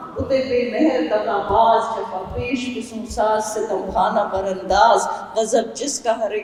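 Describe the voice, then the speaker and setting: Her intonation monotone and flat, a woman talks against noticeable background noise. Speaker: oncologist. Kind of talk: poetry reading.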